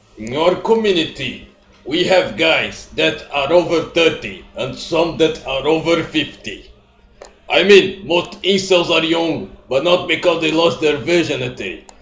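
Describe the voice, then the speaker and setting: Over noticeable background noise and audible room echo, a man speaks in a high pitch. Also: ordinary pitch variation, fairly slow pace. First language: not English. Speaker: YouTuber doing reaction video. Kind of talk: reaction commentary.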